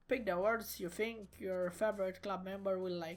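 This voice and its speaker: There is music in the background as a woman speaks with a non-native accent. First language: not English. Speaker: gaming YouTuber. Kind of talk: game playthrough reading aloud. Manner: halting.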